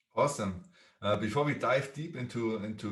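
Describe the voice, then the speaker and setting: With a strong German accent, a man talks at a fairly quick pace in a medium pitch with ordinary pitch variation, and audible room echo surrounds him. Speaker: podcast host. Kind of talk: podcast interview.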